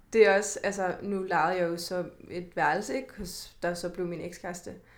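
A woman's voice with audible room echo. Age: 20s. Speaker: podcast host. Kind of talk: casual chat.

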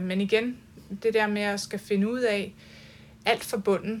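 A woman talks in a plain, everyday voice, her pitch fairly high. Her pace is moderate and her intonation fairly even. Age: 40s. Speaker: artist. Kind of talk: casual chat. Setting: artist's studio and gallery.

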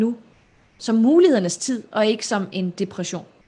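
This is a woman with an ordinary speaking voice and fairly high pitch. Her intonation is lively, at a moderate pace. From Denmark, North and South Jutland. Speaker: public speaker and entrepreneur. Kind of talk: live-streamed interview.

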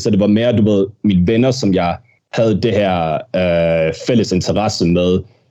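A man speaks at a moderate pace with very even loudness. His fairly low voice has a dark, mellow tone and ordinary pitch variation. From Denmark, with childhood years in Birmingham, England. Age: 20s. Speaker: professional wrestler. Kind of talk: casual interview. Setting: studio. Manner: halting, many fillers and repetitions.

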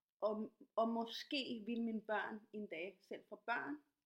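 The speaker is a woman. Her pitch is medium. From Latin America. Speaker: podcast host, dancer and activist. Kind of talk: casual interview.

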